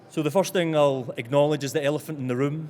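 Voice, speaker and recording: The speaker has a Scottish accent and talks at a very fast pace. The intonation is monotone and flat. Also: man. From Scotland. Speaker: engineer presenting at an industry conference. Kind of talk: conference presentation. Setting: conference stage with audience.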